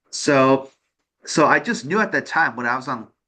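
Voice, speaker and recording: A man speaks with an American accent at a medium pitch. His tone is bright and sharp, with ordinary pitch variation. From New York. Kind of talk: interview. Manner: halting, many false starts and fillers.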